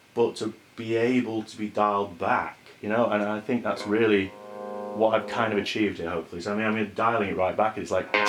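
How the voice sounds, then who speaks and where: Fairly quick, monotone delivery with flat intonation over music in the background. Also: man, fairly low pitch for a man. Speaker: guitar pedal builder. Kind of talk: casual product demo to camera.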